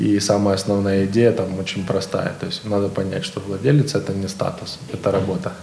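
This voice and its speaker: A man's fairly low voice at a fairly quick pace with hardly any pauses and ordinary pitch variation, amid noticeable background noise and audible room echo. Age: 20s. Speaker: IT company founder. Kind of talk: interview. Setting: studio.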